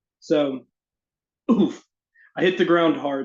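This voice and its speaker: A man speaks at a moderate pace in a fairly high pitch, with a slight Southern US accent. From US South, Arkansas. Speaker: fantasy author. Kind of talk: casual chat; reading aloud.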